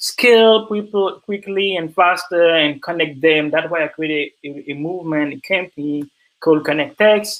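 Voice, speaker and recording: In an American accent, the speech runs on with hardly any pauses. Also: man, high pitch for a man, ordinary pitch variation, moderate pace. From Ivory Coast, West Africa. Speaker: diversity consultant and founder. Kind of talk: online presentation. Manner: halting, many fillers.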